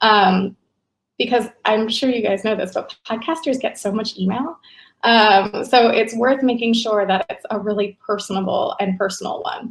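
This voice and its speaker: A woman speaks at a moderate pace with a fairly high pitch. Her voice is somewhat breathy, with ordinary pitch variation. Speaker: podcast marketing presenter. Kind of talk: webinar presentation. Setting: online webinar.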